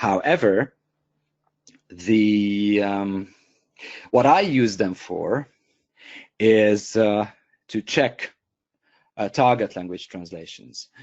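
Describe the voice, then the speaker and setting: A man with a Hungarian accent, fairly low-pitched, very slow, with long, frequent pauses, ordinary pitch variation and big swings in loudness. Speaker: software company co-founder and trainer. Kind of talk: webinar tutorial. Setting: online webinar. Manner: hesitant, many fillers and repeats.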